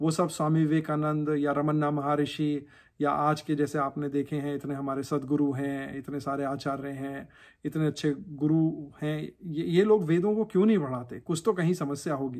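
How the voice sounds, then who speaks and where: This is a man with a normal speaking voice, fairly high in pitch. His intonation is fairly even on a very clean recording with a silent background. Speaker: religious YouTuber answering viewer questions. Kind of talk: casual Q&A explainer.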